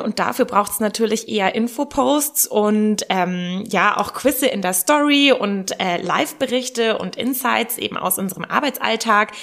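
Lively intonation runs through a woman's plain, everyday voice. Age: 30s. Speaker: secondary school teacher. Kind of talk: casual interview.

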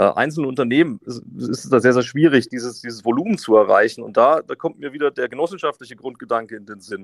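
A man rattles along at a very fast pace with hardly any pauses, his medium-pitched voice swinging widely in loudness. The sound is dry and close, with no echo. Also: ordinary pitch variation. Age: 30s. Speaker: company managing director. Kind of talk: interview. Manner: hesitant, repeats words.

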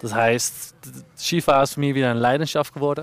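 This man's intonation stays fairly even. He moves along at a moderate pace. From Netherlands. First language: Dutch (speaking German). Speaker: ski instructor. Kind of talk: interview.

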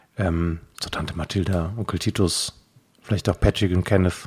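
A somewhat breathy man's voice at a fairly low pitch. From Frankfurt, Germany. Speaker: podcast host, poetry slammer. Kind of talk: casual chat. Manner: animated.

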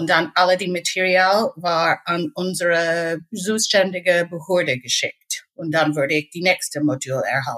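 A woman with an English accent, fairly low pitch, ordinary pitch variation and a fairly slow pace. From Northern Ireland. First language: English (speaking German). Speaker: pharmacy technician. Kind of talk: interview. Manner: halting.

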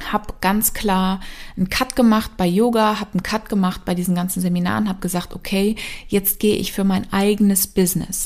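A woman's medium-pitched, somewhat breathy voice with monotone, flat intonation. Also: moderate pace. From East Africa (Kenya, Congo), German-speaking family. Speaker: mind and business coach. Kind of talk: personal storytelling monologue.

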